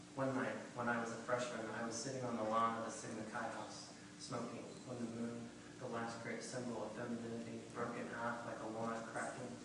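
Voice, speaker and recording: Someone with an American accent talks at a fairly quick pace in a flat monotone, with audible room echo and noticeable background noise. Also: man, medium pitch for a man. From US Midwest, Indiana. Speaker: fiction writer. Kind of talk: reading aloud. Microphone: poor audio quality.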